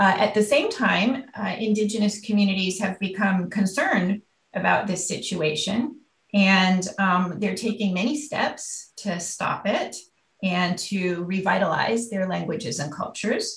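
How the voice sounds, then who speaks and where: A somewhat breathy woman's voice at medium pitch with ordinary pitch variation and an American accent. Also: fairly slow pace. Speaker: university researcher, anthropologist. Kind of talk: lecture. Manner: hesitant, many fillers.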